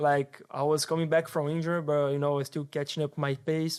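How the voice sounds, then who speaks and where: Against a silent background in a very clean recording, a man with a Portuguese accent speaks at a fairly high pitch in a flat, monotone way. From Brazil, São Paulo. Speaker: soccer agent. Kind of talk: casual chat.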